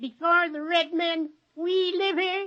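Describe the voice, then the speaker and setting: The pace of this speech is fairly slow. The voice is a put-on character voice at an extremely high pitch. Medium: old radio play. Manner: halting broken English, short repeated words.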